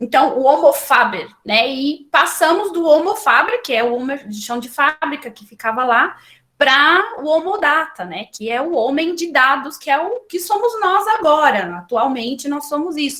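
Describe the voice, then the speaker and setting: The voice is raised and projected, with a bright, sharp tone and very wide pitch swings. It moves at a fairly slow pace with hardly any pauses. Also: woman, high pitch for a woman. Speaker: librarian giving a talk. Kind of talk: lecture. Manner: halting, many fillers and restarts.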